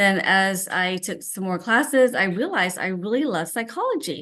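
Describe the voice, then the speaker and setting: A woman with a Vietnamese accent talks at a moderate pace against a quiet background. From US (immigrated from Vietnam at seven). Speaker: teacher. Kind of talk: speech.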